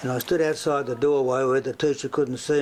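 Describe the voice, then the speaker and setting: A man's medium-pitched voice, flat and monotone, with an Australian accent. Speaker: former state politician. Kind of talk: interview answer.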